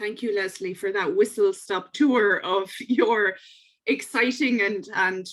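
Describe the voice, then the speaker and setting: A woman speaks at a very slow pace with an Irish accent. Her medium-pitched voice has ordinary pitch variation. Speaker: podcast host. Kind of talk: interview.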